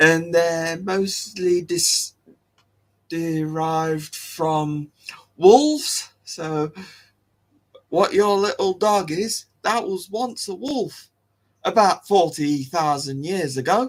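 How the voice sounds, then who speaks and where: Ordinary pitch variation marks the speech, which has long, frequent pauses. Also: man, high pitch for a man. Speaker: online show host. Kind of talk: casual live-stream talk. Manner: halting, many restarts.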